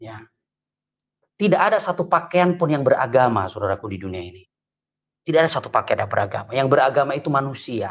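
A man's fairly high voice at a very fast clip, with big jumps in loudness and very wide pitch swings. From Indonesia (Lampung). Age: 40s. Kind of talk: testimony. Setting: video call. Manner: animated. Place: home room. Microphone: video call.

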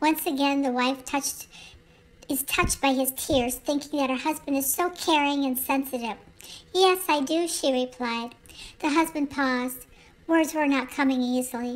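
A woman speaks in a high voice with a calm, gentle tone, at a moderate pace and with fairly even intonation. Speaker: bedtime story narrator. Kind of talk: bedtime story reading aloud. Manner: soft, calm, gentle storytelling pace.

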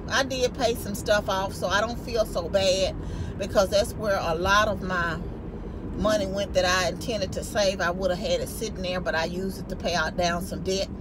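A woman talks at a moderate pace with noticeable background noise behind her. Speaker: vlogger. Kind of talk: casual vlog chat. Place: car. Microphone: phone near.

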